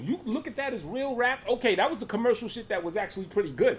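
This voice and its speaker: Loud and animated, this very fast talker has a New York accent and very wide pitch swings. Noticeable background noise runs underneath. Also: man. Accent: New York hip-hop. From New York, East Harlem. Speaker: rapper and streamer. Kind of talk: reaction commentary.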